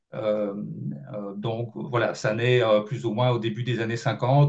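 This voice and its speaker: This man's voice has a somewhat breathy quality. He speaks at a fairly slow pace. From Belgium. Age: 50s. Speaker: journalist and author. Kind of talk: interview. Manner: hesitant, many fillers.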